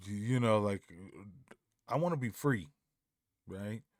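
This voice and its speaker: A man's voice with ordinary pitch variation on a very clean recording with a silent background. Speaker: music videographer and reaction youtuber. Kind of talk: casual reaction commentary. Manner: soft-spoken.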